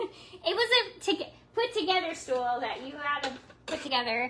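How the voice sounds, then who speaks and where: The voice is raised and projected, bright and sharp in tone, with very wide pitch swings at a moderate pace. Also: woman. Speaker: crafts livestreamer. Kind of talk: live craft tutorial chat. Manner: casual, halting with fillers.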